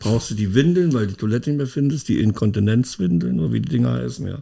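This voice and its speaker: This man talks at a fairly quick pace with medium pitch and a dark, mellow tone. His pitch swings very widely. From East Germany. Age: 60s. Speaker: podcast co-host. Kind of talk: casual chat.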